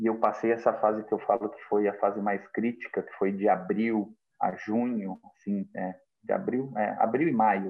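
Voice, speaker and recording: With big swings in loudness, a man delivers his words at a moderate pace. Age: 40s. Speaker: construction business owner. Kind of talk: interview. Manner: halting, many fillers.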